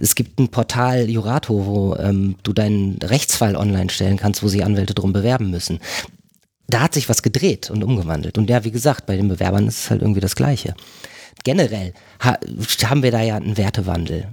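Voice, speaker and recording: A man's ordinary speaking voice, fairly low in pitch, at a fairly quick pace with ordinary pitch variation. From northern Germany, near Bremen. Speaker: agile consultant. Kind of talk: casual interview conversation. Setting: on location at a company office.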